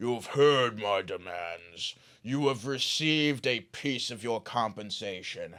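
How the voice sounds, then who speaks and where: A put-on character voice from a man, fairly slow in pace. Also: medium pitch for a man. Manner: commanding.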